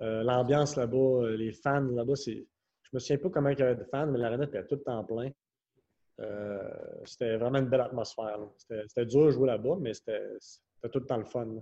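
At a moderate pace, a man with a medium pitch and fairly even intonation speaks with long, frequent pauses. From Quebec City, Quebec. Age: 20s. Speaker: professional hockey player. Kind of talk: casual interview.

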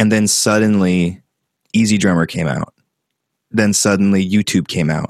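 A man's very deep, low voice with a dry, close sound and no echo. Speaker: YouTuber and metal musician. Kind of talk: casual chat. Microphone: professional-quality audio.

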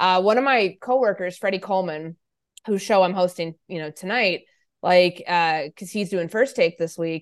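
In a plain, everyday voice with an American accent, a woman speaks at a medium pitch and moderate pace, with ordinary pitch variation, big swings in loudness and a quiet background. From US Midwest, Chicago area. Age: 30s. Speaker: sports journalist and radio host. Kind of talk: interview conversation.

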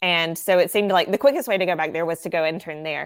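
On a very clean recording against a silent background, a woman speaks at a medium pitch with ordinary pitch variation. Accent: Southern US. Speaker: ministry worker. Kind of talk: casual interview conversation.

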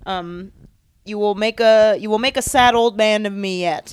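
A woman with an ordinary speaking voice, fairly high in pitch with ordinary variation, on a very clean recording with a silent background. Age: 20s. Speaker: podcast co-host, TV editor. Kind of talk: casual chat.

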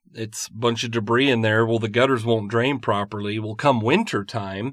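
At a fairly quick pace, a man in an unremarkable speaking voice holds a medium pitch with fairly even intonation. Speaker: podcast host, mold consultant. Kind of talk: casual educational chat.

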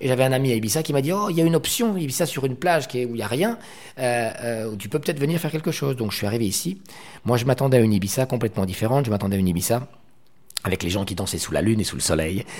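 Talking at a very fast pace, a man with a medium pitch makes very wide pitch swings. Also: very clean recording, silent background. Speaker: nightclub entrepreneur. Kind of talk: interview.

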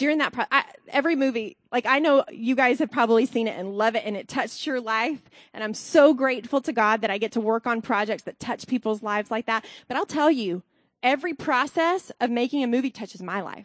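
A woman's high-pitched voice at a fairly quick pace, with ordinary pitch variation, a dry, close sound with no echo and a quiet background. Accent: Southern US. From US South, Alabama. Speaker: costume designer. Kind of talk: testimony.

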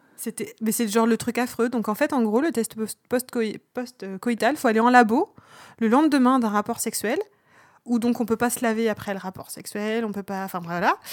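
A woman at a moderate pace, an unremarkable speaking voice with ordinary pitch variation and a dry, close sound free of echo. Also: fairly high pitch for a woman. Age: 30s. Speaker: podcast co-host. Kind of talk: casual chat.

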